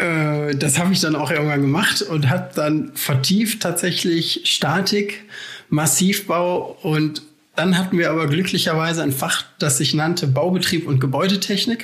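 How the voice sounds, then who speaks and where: In a room with audible echo, a man with a high pitch talks at a fairly slow pace, keeping his loudness very even and his pitch variation ordinary. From Germany, Essen (Ruhr area). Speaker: civil engineer and doctoral researcher. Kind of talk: casual interview.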